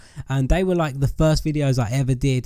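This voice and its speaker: With an English accent, a man speaks in a fairly high pitch with ordinary pitch variation and a dark, mellow tone on a very clean recording with a silent background. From England. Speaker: YouTube gamer. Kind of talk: casual chat to viewers.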